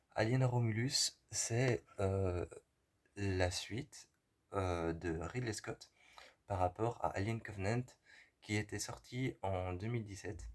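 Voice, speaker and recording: At a very slow pace, a man speaks in a somewhat breathy voice with ordinary pitch variation and long, frequent pauses. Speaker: film reviewer. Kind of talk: film review monologue. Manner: halting, many hesitations.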